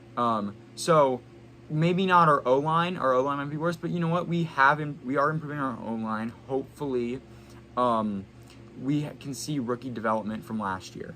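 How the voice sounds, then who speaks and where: A man speaks at a fairly quick pace with lively intonation. His tone is bright and sharp. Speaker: sports podcast host. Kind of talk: casual solo sports podcast talk. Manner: hesitant, frequent stuttering and filler words.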